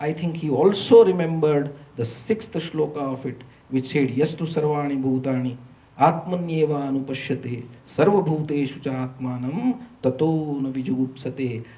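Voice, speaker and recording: Audible room echo colors the recording. The man's voice shows ordinary pitch variation. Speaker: economist, university lecturer. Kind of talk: lecture. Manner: slow; quiet.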